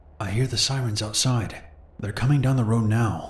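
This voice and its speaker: A man performs a put-on character voice at a medium pitch, speaking quietly at a moderate pace. An audible echo follows his words. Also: fairly even intonation. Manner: hushed, scared.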